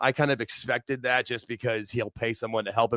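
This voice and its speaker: The dry, close sound with no echo carries a man talking at a fairly quick pace. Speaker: wrestling show host. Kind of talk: casual chat. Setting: livestream.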